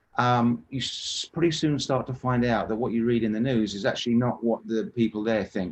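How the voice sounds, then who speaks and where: A man with a medium-pitched voice speaks fairly quickly. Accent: English. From England. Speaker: interviewee recounting work in a war zone. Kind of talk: interview storytelling. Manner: halting, frequent repetitions and restarts.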